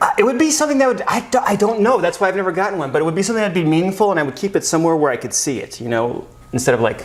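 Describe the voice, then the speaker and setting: A man talks at a very fast pace with a high pitch and very wide pitch swings. There is noticeable background noise. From Phoenix, Arizona, USA. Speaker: actor and improv comedian. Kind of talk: casual interview answer.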